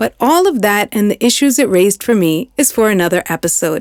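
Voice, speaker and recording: In a New York accent, a woman talks at a fairly quick pace with medium pitch and very wide pitch swings, the recording very clean with a silent background and a dry, close sound with no echo. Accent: New York American English. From Long Island, New York. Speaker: podcast host and narrator. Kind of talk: scripted narration.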